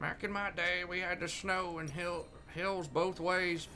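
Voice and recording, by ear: Putting on a character voice, a man speaks at a fairly slow pace and a high pitch, with clear background noise.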